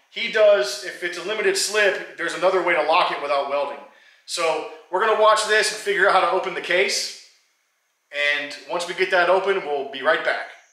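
In a room with audible echo but a quiet background, a man talks in a raised, projected voice at a fairly quick pace with ordinary pitch variation. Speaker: hobby mechanic vlogger. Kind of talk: casual vlog chat. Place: garage. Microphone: camera far.

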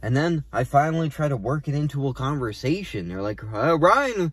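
The sound is dry, with no echo. A man speaks at a moderate pace. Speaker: stand-up comedian. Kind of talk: comedic monologue, casual vlog chat. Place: car. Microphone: phone near.

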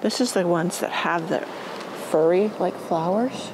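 Against noticeable background noise, the words come at a very slow pace. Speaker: gardening vlogger. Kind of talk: casual vlog chat. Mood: delighted, admiring. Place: garden. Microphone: phone near.

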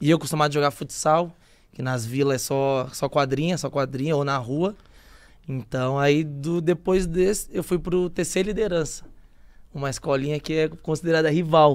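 A quiet background behind a man's moderately paced speech, with ordinary pitch variation. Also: fairly high pitch for a man. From São Paulo, Brazil (capital, Zona Norte). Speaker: footballer. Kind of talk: casual chat. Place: studio. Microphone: studio mic.

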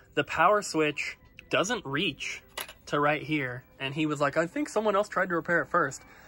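The pace is moderate, with faint music in the background. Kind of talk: casual vlog chat. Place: shop. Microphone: phone near.

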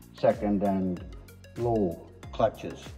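A man speaks at a fairly low pitch with ordinary pitch variation. Faint music plays in the background. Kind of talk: tutorial. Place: workshop. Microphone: phone near.

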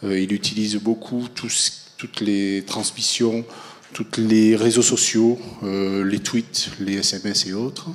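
A man's fairly low voice, fairly slow pace, monotone and flat intonation. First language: French. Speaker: architecture school teacher; host introducing a guest lecturer. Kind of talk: speaker introduction. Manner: halting. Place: classroom. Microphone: handheld.

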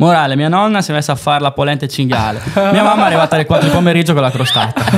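A man speaks at a very fast pace with lively intonation. Noticeable background noise runs underneath. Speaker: dialect teacher, folk theatre actor. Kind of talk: casual anecdote in podcast conversation. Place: studio. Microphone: studio mic.

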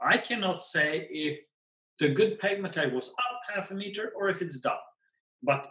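In a raised, projected voice with a Swedish accent, a man speaks at a moderate pace with a high pitch and lively intonation, with audible room echo over a quiet background. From Sweden. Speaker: pegmatite expert and field collector; guest. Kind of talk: storytelling interview. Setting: video call. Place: home room. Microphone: webcam.

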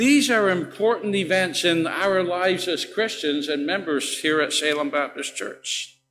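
With faint music in the background, a man talks fairly slowly. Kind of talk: church announcements. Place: church. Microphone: podium.

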